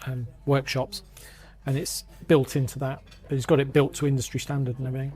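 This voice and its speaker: Speaking at a very fast pace yet with long, frequent pauses, a man uses a dark, mellow, somewhat breathy tone at medium pitch and a monotone, flat intonation. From northern England, Grimsby (Lincolnshire). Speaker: London magazine editor. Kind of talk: casual chat. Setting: pub. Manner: halting.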